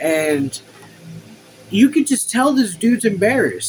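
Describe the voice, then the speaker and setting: There is noticeable background noise. The talking proceeds at a moderate pace. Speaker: YouTuber reading a book aloud with commentary. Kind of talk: reading aloud with casual commentary. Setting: home room. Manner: animated.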